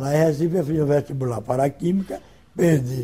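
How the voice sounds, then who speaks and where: A man with a fairly high pitch, a dark, mellow tone and a somewhat breathy sound, at a moderate pace. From Rio de Janeiro state, Brazil. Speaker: retired labour court judge. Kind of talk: oral history interview answer.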